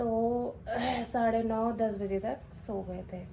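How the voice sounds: Fairly high for a woman, her voice has a dark, mellow tone and fairly even intonation.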